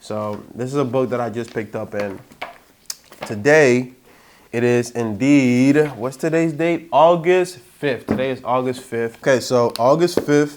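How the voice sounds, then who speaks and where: A man talks at a fairly slow pace. His medium pitch shows ordinary pitch variation. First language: Spanish. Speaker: day trader, streamer. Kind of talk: casual livestream chat with reading aloud. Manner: casual, filler-heavy.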